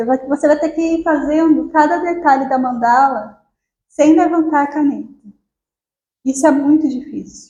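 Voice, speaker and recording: A soft-spoken woman talks at a moderate pace with a high pitch and a dark, mellow tone. Her intonation stays fairly even, broken by long, frequent pauses. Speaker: spiritual group speaker. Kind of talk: spiritual talk. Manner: halting.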